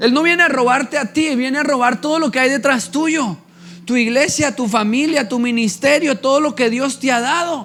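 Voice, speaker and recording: A man's extremely high pitch with ordinary pitch variation at a moderate pace. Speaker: pastor. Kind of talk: sermon.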